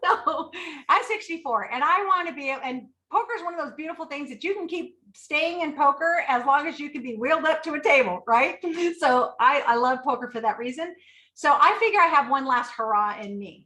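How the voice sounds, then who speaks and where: A woman speaks in a raised, projected voice at a high pitch. Her tone is bright and sharp, with big swings in loudness. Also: lively intonation, fairly quick pace. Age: 60s. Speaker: poker organization founder. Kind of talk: interview.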